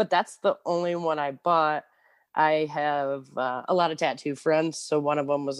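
A woman speaks with a Michigan accent in a very deep, low pitch, her intonation fairly even at a moderate pace. The sound is dry and close with no echo, over a quiet background. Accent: US Midwest (Michigan). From Michigan, Clio. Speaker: moped shop worker, former teacher. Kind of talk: casual interview.

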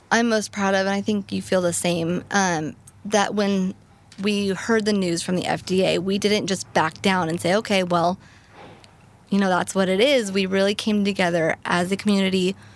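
A woman with an ordinary speaking voice talks at a medium pitch and a moderate pace. Her loudness stays very even and her intonation fairly even. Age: 20s. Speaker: rare disease patient advocate. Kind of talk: interview conversation. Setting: live recording at a patient advocacy summit.

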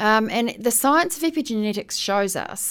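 Pitched fairly high, this woman speaks with a New Zealand accent. Her pitch swings very widely. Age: 60s. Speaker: heritage seed saver and educator. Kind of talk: radio interview.

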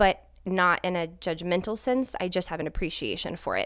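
On a very clean recording with a silent background, a woman speaks at a moderate pace in a plain, everyday voice with a fairly low pitch. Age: 30s. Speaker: homeschooling parent. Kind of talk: casual chat.

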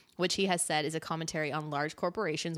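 Very fast and with fairly even intonation, a woman speaks in a very deep, low pitch, captured in a very clean recording with a silent background. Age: 20s. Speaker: podcast host. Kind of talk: casual chat. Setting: in person at her apartment.

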